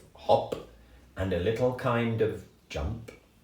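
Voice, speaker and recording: This man talks very slowly, somewhat breathy. His tone is dark and mellow. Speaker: grandfather storyteller. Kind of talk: children's story reading. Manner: gentle, warm.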